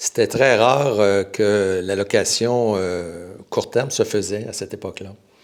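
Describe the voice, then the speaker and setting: On a very clean recording with a silent background, a man with a Quebec accent speaks fairly slowly at a fairly low pitch. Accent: Québécois French. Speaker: real estate broker. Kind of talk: podcast interview. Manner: halting.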